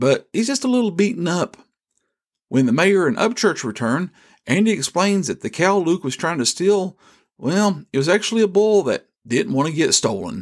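A man with a rural Southern US accent speaks at a high pitch with very wide pitch swings on a very clean recording with a silent background. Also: moderate pace. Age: 50s. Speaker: devotional podcast host. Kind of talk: devotional podcast narration.

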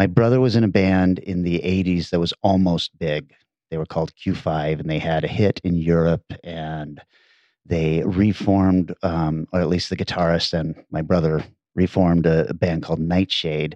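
A man with a Pacific Northwest accent speaks at a moderate pace in a very deep, low voice with a dark, mellow tone and fairly even intonation. The sound is dry and close with no echo, over a quiet background. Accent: general American (Pacific Northwest). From US Pacific Northwest (Bellingham, Washington). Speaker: podcast host. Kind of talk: casual chat.

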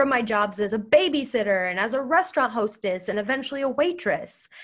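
Speaking at a moderate pace, a woman with an American accent uses a high pitch and very wide pitch swings. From United States. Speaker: podcast host. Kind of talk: solo podcast monologue.

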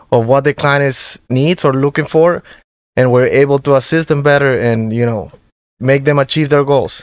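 A man with a Spanish accent at a moderate pace, fairly high in pitch, fairly even in intonation, with a dry, close sound and no echo. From Venezuela. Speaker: mortgage loan originator. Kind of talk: interview, professional conversation. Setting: studio.

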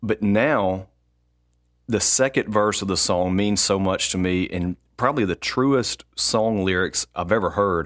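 On a very clean recording with a silent background, a man with a fairly low pitch and an ordinary speaking voice talks at a fairly slow pace. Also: ordinary pitch variation. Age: 30s. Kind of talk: personal testimony.

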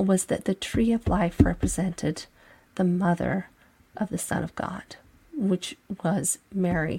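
Speaking at a very slow pace, a woman uses a somewhat breathy, medium-pitched voice with ordinary pitch variation. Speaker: religious podcast host and author. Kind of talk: solo religious commentary podcast. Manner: hesitant with fillers.

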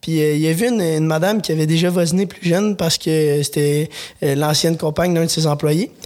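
Over noticeable background noise, a man with a fairly high pitch talks at a fairly quick pace, his intonation fairly even and his loudness very even. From Quebec, Lanaudière. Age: 20s. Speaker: vegetable farmer. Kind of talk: interview. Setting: studio. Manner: halting.

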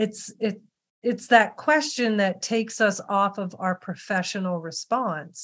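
A woman with a plain, everyday voice, medium pitch, ordinary pitch variation, a fairly slow pace, and a quiet background. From Western Maryland. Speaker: podcast host. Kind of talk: interview conversation.

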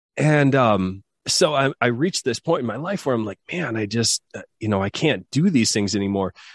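A man with a Midwestern American accent speaks at a moderate pace, medium pitch, with hardly any pauses and lively intonation. The sound is dry and close with no echo, against a quiet background. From US Midwest, rural southwest Michigan. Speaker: Paralympic athlete and personal trainer. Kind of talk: casual interview. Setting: remote call.

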